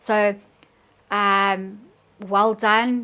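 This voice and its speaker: In a South African accent, a woman speaks at a medium pitch. The recording is very clean, with a silent background. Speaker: tarot reader. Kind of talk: tarot reading to camera.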